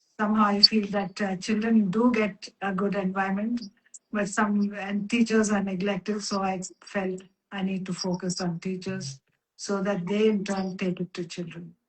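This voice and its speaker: At a moderate pace, a woman with a medium pitch and a somewhat breathy voice speaks in a monotone, flat intonation. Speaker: Montessori educator. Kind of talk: casual chat. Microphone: audio too quiet.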